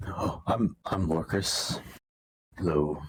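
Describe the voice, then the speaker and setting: Using a put-on character voice, a man sounds raspy, with a very deep, low pitch. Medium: actual play.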